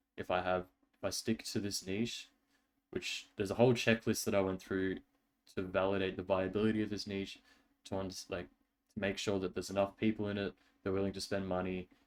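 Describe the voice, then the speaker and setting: The man's pitch is fairly low. He talks at a fairly quick pace but leaves long, frequent pauses. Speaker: vlogger. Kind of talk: casual chat. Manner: fast; animated.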